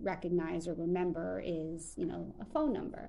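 This woman has an American accent and a fairly low pitch. Vocal fry runs through her voice. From Long Island, New York. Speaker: journalist and museum storyteller. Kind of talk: casual chat.

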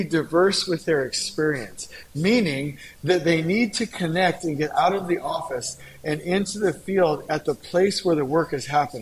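High male voice with lively intonation at a moderate pace, over noticeable background noise. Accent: American. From Southern California. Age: 40s. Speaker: construction company founder and author. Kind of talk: podcast interview. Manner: animated.

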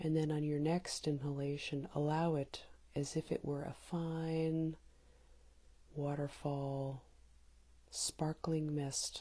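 A woman's very deep, low voice, dark and mellow, somewhat breathy, with a calm tone, monotone flat intonation, a very slow pace and long, frequent pauses. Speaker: meditation guide. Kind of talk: guided meditation. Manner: calm with long pauses.

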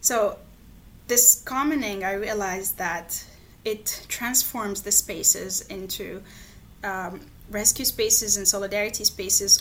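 Speaking with an Arabic accent, a woman uses medium pitch and fairly even intonation. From Lebanon, Palestinian refugee camp in Beirut. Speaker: geography researcher. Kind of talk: interview.

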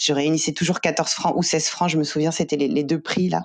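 A very clean recording keeps the background silent. Intonation remains fairly even throughout. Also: woman. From Paris, France. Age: 30s. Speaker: journalist and author. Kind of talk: interview.

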